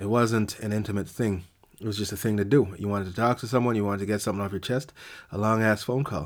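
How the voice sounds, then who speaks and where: Speaking at a very fast pace, a man uses a fairly low pitch and fairly even intonation. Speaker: podcast host. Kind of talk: casual monologue. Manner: alternates between two voices, self and conscience.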